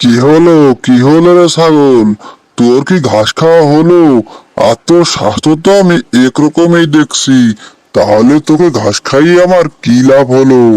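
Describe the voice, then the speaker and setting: A man uses a cartoonish character voice at a fairly high pitch. He keeps a moderate pace. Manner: blustering, threatening.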